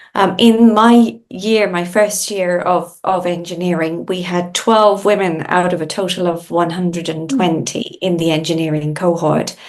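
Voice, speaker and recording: Speaking at a fairly slow pace with hardly any pauses, a woman uses a fairly low pitch and ordinary pitch variation. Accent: Irish. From Ireland. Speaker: industry association CEO, engineer. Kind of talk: podcast interview.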